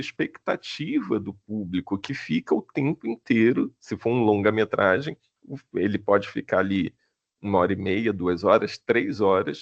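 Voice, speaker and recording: A man in a plain, everyday voice speaks at a fairly slow pace with lively intonation, recorded dry and close with no echo over a quiet background. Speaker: film screenwriting professor. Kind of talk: online lecture.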